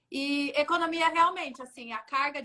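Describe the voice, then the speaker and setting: Using a raised, projected voice with a bright, sharp tone, a woman speaks at a fairly slow pace. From São Paulo state interior (Jundiaí), Brazil. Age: 20s. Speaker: UN agency staff, economist. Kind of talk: interview. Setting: Instagram live.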